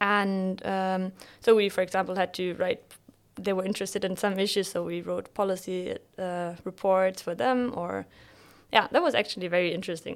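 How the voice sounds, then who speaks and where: In a very clean recording with a silent background, a woman with a German accent speaks at a moderate pace and medium pitch. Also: fairly even intonation. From northern Germany, Bremen. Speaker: PhD student. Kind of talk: interview.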